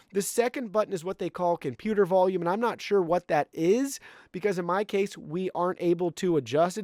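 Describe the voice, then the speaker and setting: On a very clean recording with a silent background and a dry, close sound with no echo, a man speaks loud and at a fairly quick pace, with a high pitch, ordinary pitch variation and a dark, mellow tone. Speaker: tech product reviewer. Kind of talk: product review tutorial.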